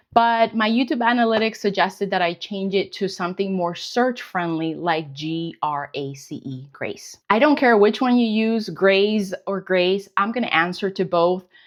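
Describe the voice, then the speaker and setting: With hardly any pauses, a woman at a medium pitch talks with lively intonation. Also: moderate pace. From Colombia, then United States. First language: Spanish. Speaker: weight loss vlogger. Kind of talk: casual Q&A vlog.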